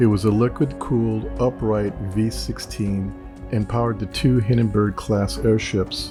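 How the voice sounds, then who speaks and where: Over music in the background, a soft-spoken man talks at a fairly slow pace and fairly low pitch with ordinary pitch variation. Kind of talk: soft-spoken ASMR documentary narration.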